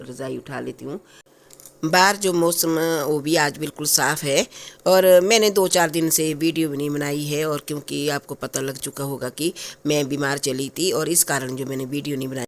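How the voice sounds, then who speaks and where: Fairly slow, fairly evenly intoned speech from a woman with a very deep, low voice. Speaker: vlogger. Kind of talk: casual vlog. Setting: at home, bedroom.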